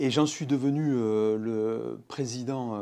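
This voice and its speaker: A man's dark, mellow tone at a medium pitch with ordinary pitch variation. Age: 60s. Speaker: business owner, public works company head. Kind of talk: interview. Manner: hesitant, many fillers.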